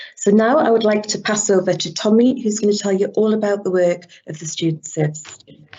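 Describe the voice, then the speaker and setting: Speaking at a fairly quick pace with hardly any pauses, a woman with an English accent and a medium pitch uses ordinary pitch variation, her loudness swinging widely over noticeable background noise. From England. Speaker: university lecturer. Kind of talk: webinar presentation. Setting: online webinar.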